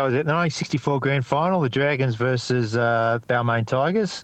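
A man with an Australian accent speaks at a fairly quick pace against a quiet background. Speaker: stand-up comedian. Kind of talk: interview chat. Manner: halting, rambling, self-interrupting.

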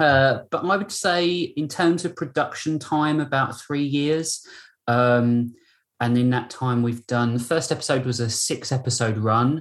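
Spoken at a fairly slow pace with a British accent, this voice sits over a quiet background. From Britain. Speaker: voice actor in an audio drama. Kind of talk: casual interview chat.

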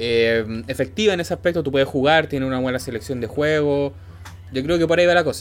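Very wide swings in pitch from a man, delivered at a very fast clip. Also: medium pitch for a man. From Chile, Santiago. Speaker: podcast host. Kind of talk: casual chat. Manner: halting, many fillers and repetitions.

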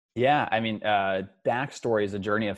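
A man's normal speaking voice, fairly low in pitch, at a moderate pace with an American accent. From Northern California, Mount Shasta. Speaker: startup founder. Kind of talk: interview.

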